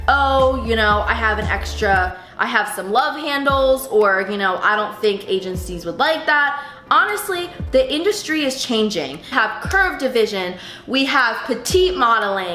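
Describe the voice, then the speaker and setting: A fairly slow voice in an American accent with very wide pitch swings, audible room echo and music in the background. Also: woman, fairly high pitch for a woman. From Pennsylvania, Philadelphia suburbs. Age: 20s. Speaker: fashion model and vlogger. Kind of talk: casual vlog talk to camera. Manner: casual with many fillers.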